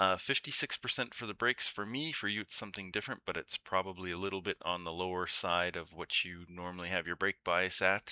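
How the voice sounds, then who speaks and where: A very deep, low male voice at a very fast pace, with fairly even intonation. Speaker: sim racing video creator. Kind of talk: tutorial. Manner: casual, hesitant with many fillers.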